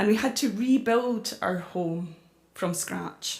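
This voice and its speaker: Here a woman speaks with a Scottish accent. Her pace is fairly slow, with ordinary pitch variation. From Scotland, Glasgow / central Scotland. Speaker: climate campaigner and author. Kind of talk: public talk. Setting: church with audience.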